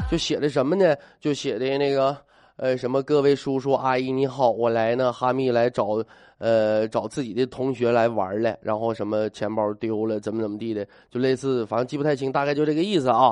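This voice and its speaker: Speaking at a fairly quick pace in a Northeastern Chinese accent, a man uses a medium pitch with ordinary pitch variation. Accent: Northeastern Mandarin. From Northeast China. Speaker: radio talk show host. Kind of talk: radio talk show monologue. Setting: radio studio, live broadcast.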